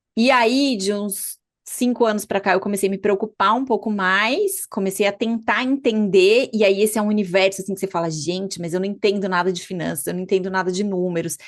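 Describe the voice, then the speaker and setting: A woman has an ordinary speaking voice at medium pitch, with fairly even intonation. She talks at a fairly quick pace with hardly any pauses over a quiet background. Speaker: physician and podcast host. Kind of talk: podcast conversation.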